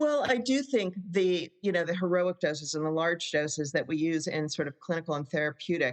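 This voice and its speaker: Speaking at a fairly quick pace with hardly any pauses, a woman has a fairly low pitch, lively intonation and an ordinary speaking voice. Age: 60s. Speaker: psychotherapist. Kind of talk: podcast interview.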